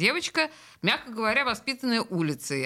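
A woman's bright, sharp tone at a fairly quick pace, on a very clean recording with a silent background. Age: 50s. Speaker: radio host. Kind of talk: casual chat. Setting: studio.

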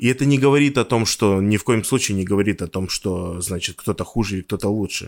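A man's fairly low voice at a fairly quick pace with hardly any pauses and ordinary pitch variation, dry and close with no echo, in a very clean recording with a silent background. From Russia, Yamal (Noyabrsk). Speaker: podcast sound engineer and composer. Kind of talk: interview. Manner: halting, many fillers.

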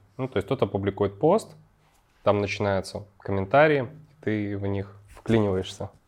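A man at a fairly low pitch and moderate pace, a normal speaking voice with ordinary pitch variation, against a quiet background. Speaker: podcast host. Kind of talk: casual interview.

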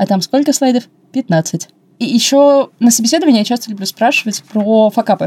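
A woman speaks fairly quickly in a fairly high, somewhat breathy voice with a dark, mellow tone. Her intonation is lively, and the sound is dry and close with no echo. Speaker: podcast co-host, customer service specialist. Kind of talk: casual chat. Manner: mumbling. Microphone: wrongly assembled mic, muffled sound.

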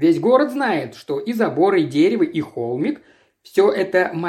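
There is an unforced reading voice, with a quiet background behind it.

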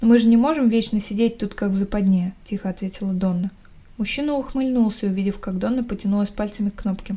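A woman speaks at a very fast pace with a dark, mellow tone and a somewhat breathy quality. Her pitch is medium and her intonation fairly even. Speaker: podcast host reading a novel aloud. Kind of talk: reading aloud; casual chat. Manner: no character voices in dialogue.

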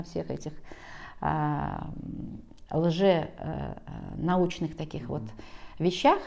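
A woman talks with fairly even intonation and a dark, mellow, calm tone. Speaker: school director. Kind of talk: interview. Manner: calm, unhurried.

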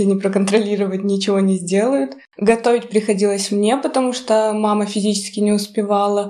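Fairly quick and fairly even in intonation, a woman with a plain, everyday voice speaks at a medium pitch. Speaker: journalism graduate student. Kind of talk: casual chat.

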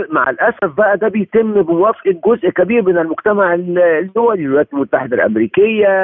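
A man at a moderate pace. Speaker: human rights lawyer. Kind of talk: interview. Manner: animated.

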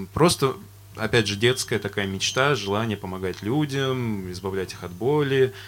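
A man with an ordinary speaking voice talks at a moderate pace in a fairly low pitch, with ordinary pitch variation and big swings in loudness. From Astrakhan, Russia. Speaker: band vocalist. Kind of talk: casual interview chat. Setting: studio.

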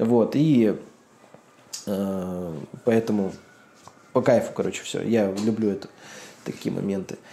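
A man talks at a very slow pace with long, frequent pauses. His pitch is fairly low, with ordinary variation. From Russian Far East. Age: 30s. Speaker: entrepreneur and targeted-ads marketer. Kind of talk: casual chat. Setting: video call from home balcony. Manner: animated.

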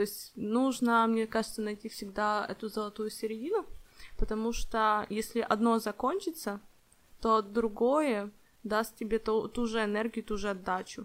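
A woman speaks in an ordinary speaking voice, fairly high in pitch, at a fairly slow pace with fairly even intonation. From Ukraine. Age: 20s. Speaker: podcast co-host, project manager. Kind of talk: casual chat.

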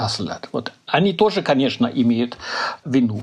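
A man talks with a German accent. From Germany. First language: German (speaking Russian). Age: 60s. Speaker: political scientist. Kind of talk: interview. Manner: halting.

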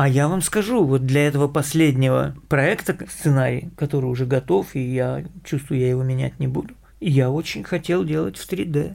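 A man talks at a fairly quick pace with a fairly high pitch. His tone is slightly mellow, and vocal fry runs through it.

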